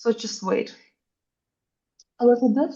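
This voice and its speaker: Speaking at a moderate pace, a woman has a non-native accent and a dark, mellow tone. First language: not English. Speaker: architecture AI workshop instructor. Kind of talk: live workshop tutorial. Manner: animated, casual.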